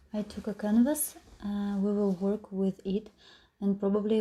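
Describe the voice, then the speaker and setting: A woman with a Russian accent speaks at a medium pitch in a dark, mellow, somewhat breathy tone. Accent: non-native English, Russian. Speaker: mixed media craft tutor. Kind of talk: tutorial. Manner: hesitant, many filler sounds.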